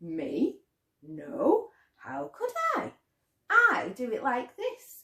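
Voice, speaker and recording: Putting on a character voice with a high pitch, a woman speaks very slowly with long, frequent pauses. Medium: read story.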